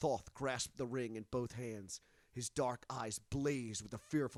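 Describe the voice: Plain reading aloud fills the recording.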